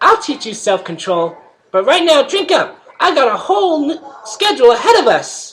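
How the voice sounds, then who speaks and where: In a put-on character voice, the speaker uses a high pitch and a cheerful tone with very wide pitch swings. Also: moderate pace. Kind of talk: playful.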